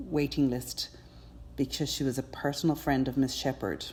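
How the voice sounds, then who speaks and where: With an Irish accent, a woman speaks at a moderate pace in a very deep, low pitch, her tone dark and mellow with vocal fry and fairly even intonation, on a very clean recording with a silent background. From Ireland, Cork. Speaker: endurance rider. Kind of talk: personal testimony.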